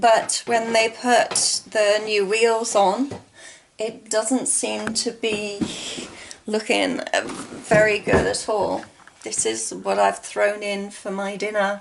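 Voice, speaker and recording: Noticeable noise sits behind a woman who talks very slowly. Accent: English. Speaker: video blogger with COPD. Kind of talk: casual vlog chat. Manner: paced to regulate breathing.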